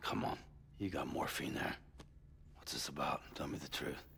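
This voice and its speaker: A man puts on a raspy character voice, talking at a moderate pace against clear background noise. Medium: video game. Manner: terse, gruff.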